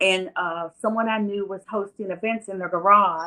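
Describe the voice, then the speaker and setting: At a moderate pace and medium pitch, a woman speaks with an American accent and a bright, sharp tone. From West Virginia. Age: 60s. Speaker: music event promoter. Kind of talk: interview.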